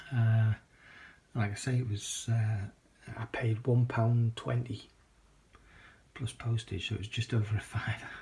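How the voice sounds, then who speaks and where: A man with a British accent, medium-pitched, dark and mellow in tone, somewhat breathy, monotone and flat in intonation, with long, frequent pauses. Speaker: video collector vlogger. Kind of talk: casual vlog. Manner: hesitant with many fillers.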